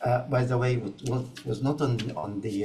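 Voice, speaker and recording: A man's medium-pitched voice at a fairly slow pace, with noticeable background noise and audible room echo. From Egypt. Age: 80s+. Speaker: community health ambassador. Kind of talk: interview. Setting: online video conference. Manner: halting, many fillers.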